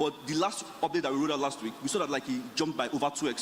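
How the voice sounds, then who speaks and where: Over noticeable background noise, a man speaks very fast. His pitch is fairly high, with ordinary variation. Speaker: startup founder panelist. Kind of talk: panel discussion.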